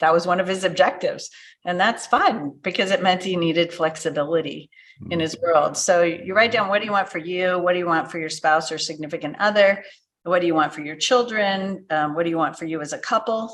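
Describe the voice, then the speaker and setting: Using an ordinary speaking voice, a woman talks at a fairly quick pace with a fairly low pitch and ordinary pitch variation. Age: 60s. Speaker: business transition consultant. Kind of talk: podcast interview.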